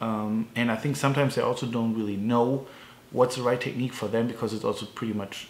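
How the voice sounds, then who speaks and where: The speaker is a man with a German accent. His voice is medium-pitched with fairly even intonation. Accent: non-native, German-sounding. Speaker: strength coach. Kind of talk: tutorial. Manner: halting, many fillers.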